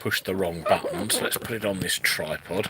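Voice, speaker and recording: A man speaks with an East Midlands accent. His pace is moderate. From England, Northampton. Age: 50s. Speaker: YouTuber and electronics repairer. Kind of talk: casual live-stream chat.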